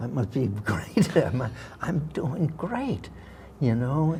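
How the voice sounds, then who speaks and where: A man with an American accent speaks at a fairly slow pace in a dark, mellow, somewhat breathy tone with lively intonation. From Massachusetts, Worcester. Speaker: actor. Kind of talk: interview storytelling.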